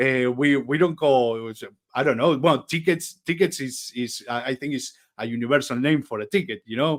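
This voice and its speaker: A man with an Argentine accent on a very clean recording with a silent background. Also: medium pitch for a man, ordinary pitch variation, moderate pace. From Argentina. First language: Spanish. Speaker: software company partner manager. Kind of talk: casual interview chat. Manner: halting, many repetitions.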